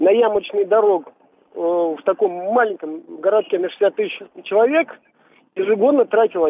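A man with a high voice speaks with lively intonation over light background noise. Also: dry sound with no echo. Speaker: radio caller. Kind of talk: casual chat. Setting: phone call. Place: studio.

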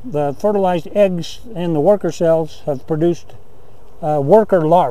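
The sound is dry, with no echo. A man speaks with ordinary pitch variation. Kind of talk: tutorial. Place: open country.

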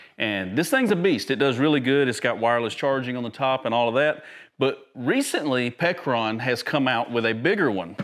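A man at medium pitch with lively intonation, a moderate pace and few pauses. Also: fairly bright tone.

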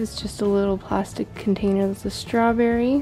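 A woman speaks over faint music in the background. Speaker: room tour vlogger. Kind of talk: casual show-and-tell tour. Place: home room.

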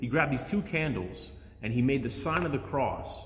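This man's pitch moves in an ordinary way. He speaks fairly quickly. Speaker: priest. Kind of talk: sermon. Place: church. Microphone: phone near.

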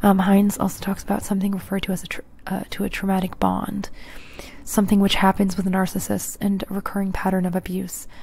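A soft-spoken, somewhat breathy woman's voice, fairly quick and flat in a monotone. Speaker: true crime narrator. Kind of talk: ASMR-style true crime narration. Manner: soft-spoken close-mic ASMR voice. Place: home room. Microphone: handheld.

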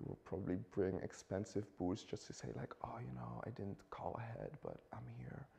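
A man whispers at a moderate pace. He barely pauses at all. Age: 20s. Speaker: student; talk show guest. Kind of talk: casual chat. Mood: playful, animated storytelling. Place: studio.

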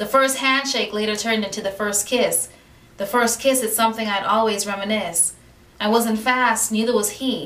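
With fairly even intonation, a woman speaks at a moderate pace and a fairly high pitch. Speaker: poet. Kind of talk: spoken word poetry reading. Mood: warm, romantic, expressive. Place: home room. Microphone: camera far.

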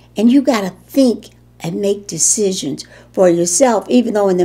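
This woman has a dark, mellow tone and speaks with a Chicago accent. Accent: Chicago American English. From Chicago, US Midwest. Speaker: war veteran. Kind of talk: interview. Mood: calm, reflective. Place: home room.

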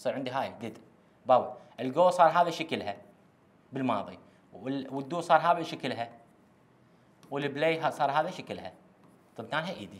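The speaker has an Iraqi accent and lively intonation. The pace is moderate. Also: man. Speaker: English teacher; teacher. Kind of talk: lecture. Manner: repetitive, emphatic. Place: classroom. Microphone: lapel.

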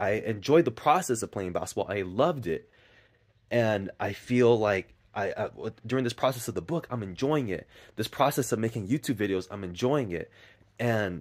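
Against a quiet background, a man speaks with lively intonation at a moderate pace. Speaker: vlogger. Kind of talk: casual vlog chat. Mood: reflective, earnest. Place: garden. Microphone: phone near.

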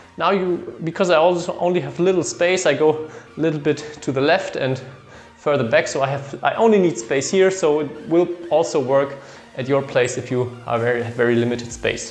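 The speech runs at a fairly quick pace. Audible room echo surrounds it. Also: man, ordinary pitch variation. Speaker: badminton coach. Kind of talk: tutorial. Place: empty room. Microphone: camera far.

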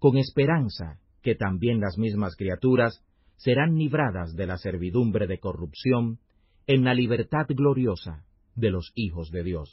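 A man's somewhat breathy voice at medium pitch, with lively intonation. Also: fairly slow pace. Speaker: Bible audio narrator. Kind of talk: scripture reading aloud, audiobook-style narration. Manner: formal, measured, solemn; steady, even pace with little variation.

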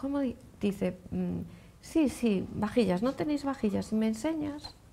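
A woman talks at a fairly slow pace. There is light background noise behind her. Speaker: TV talk show host. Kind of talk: casual chat. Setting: studio. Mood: relaxed, friendly. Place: studio. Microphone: lapel.

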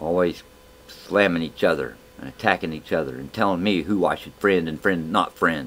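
A man talks at a very deep, low pitch. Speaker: video blogger. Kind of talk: angry rant, preachy moral appeal. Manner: indignant, heated, pleading; repetitive, rhetorical questions. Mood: earnest, weary plea. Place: home room. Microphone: webcam.

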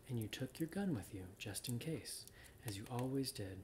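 A natural reading voice with lively intonation carries the words.

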